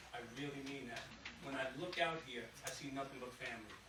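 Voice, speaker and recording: In a room with audible echo and noticeable background noise, a man speaks fairly quickly in a fairly high pitch with fairly even intonation. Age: 60s. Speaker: community activist. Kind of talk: address to audience.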